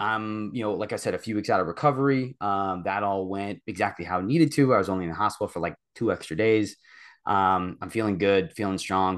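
A man with a plain, everyday voice speaks at a fairly low pitch with ordinary pitch variation over a quiet background. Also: fairly quick pace. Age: 30s. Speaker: fitness coaching client. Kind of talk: casual chat.

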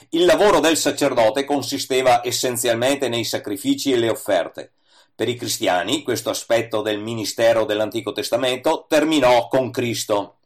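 In a plain, everyday voice, a man speaks at a medium pitch and moderate pace with ordinary pitch variation. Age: 60s. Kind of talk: scripted reading of a religious essay.

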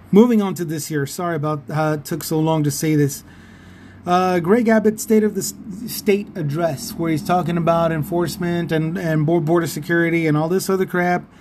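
A man with a high pitch talks at a fairly quick pace, using ordinary pitch variation. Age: 50s. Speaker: political podcaster. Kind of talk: opinion monologue. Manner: animated.

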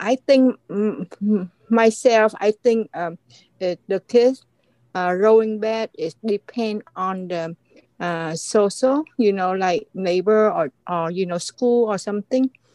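In a Vietnamese accent, a woman speaks at a very slow pace with a medium pitch, ordinary pitch variation and a dark, mellow tone, the sound dry and close with no echo. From Vietnam (Saigon). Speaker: author. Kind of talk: interview testimony. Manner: halting.

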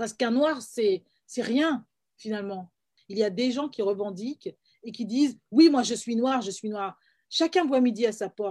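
A woman speaks with a dark, mellow tone and long, frequent pauses. The recording is very clean, with a silent background. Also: ordinary pitch variation. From France, Paris (Guadeloupean family). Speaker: filmmaker, screenwriter and playwright. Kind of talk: interview. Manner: hesitant, frequent word repetitions.

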